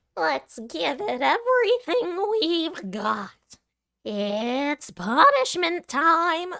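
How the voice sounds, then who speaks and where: Put-on character voice, pitched high, moves through very wide pitch swings at a very slow pace. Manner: menacing, playful.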